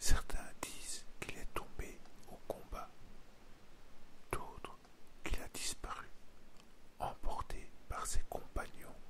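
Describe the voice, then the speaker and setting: A man whispers. His pace is very slow. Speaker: ASMR history narrator. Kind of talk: ASMR history storytelling for sleep and relaxation. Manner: soft, whispered, slow.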